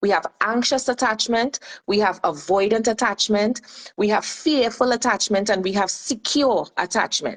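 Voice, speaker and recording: A woman with a Trinidadian accent and a fairly high pitch, at a moderate pace, in dry, close sound with no echo. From Trinidad and Tobago. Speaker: life and relationship coach. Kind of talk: radio show interview.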